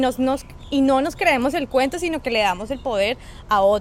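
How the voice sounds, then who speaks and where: Noticeable background noise behind a woman's high voice. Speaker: podcast co-host. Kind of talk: casual chat. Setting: outdoors.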